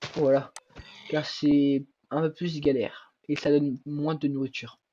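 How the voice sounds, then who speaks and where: Very slow and monotone, a man speaks with flat intonation, a fairly high pitch and a dark, mellow tone. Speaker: gaming youtuber. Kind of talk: gameplay commentary.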